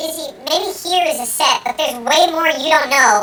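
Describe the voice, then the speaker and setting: A squeaky, high-pitched, put-on character voice. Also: moderate pace. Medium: comedy sketch. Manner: polite, mild, gently exasperated.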